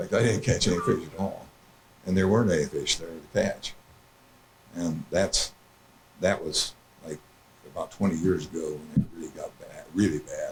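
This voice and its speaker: Loudness swings widely as a man with an American accent talks at a moderate pace, taking long, frequent pauses. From southeast Iowa, USA. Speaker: crop consultant and watershed group member. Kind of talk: presentation talk. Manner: hesitant, casual.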